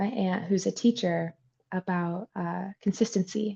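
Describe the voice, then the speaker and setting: In a dry, close recording with no echo, a woman speaks at a medium pitch with a dark, mellow, somewhat breathy tone. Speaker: horse trainer. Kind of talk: interview.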